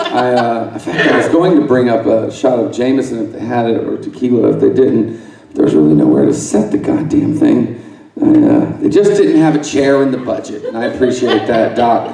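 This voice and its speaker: Noticeable background noise and audible room echo both come through in the recording. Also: man, fairly quick pace. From Alabama. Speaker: stand-up comedian. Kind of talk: stand-up. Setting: stage with audience. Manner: articulate; halting.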